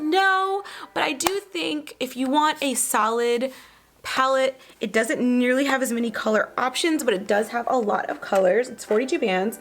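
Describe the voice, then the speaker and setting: Over noticeable background noise, a woman with a high voice makes very wide pitch swings. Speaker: beauty vlogger. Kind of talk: makeup review and tutorial. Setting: home studio with green screen. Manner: fast; casual, filler-heavy.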